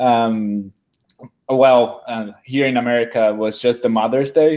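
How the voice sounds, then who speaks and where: With a slight Brazilian accent, a man speaks at a medium pitch in a dark, mellow tone. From Brazil, São Paulo. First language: Portuguese. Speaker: food design researcher. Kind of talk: webinar interview, self-introduction. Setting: live video webinar.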